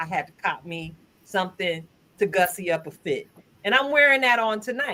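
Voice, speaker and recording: Her tone bright and sharp, a woman speaks at a moderate pace with very wide pitch swings. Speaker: live stream host. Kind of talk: casual chat.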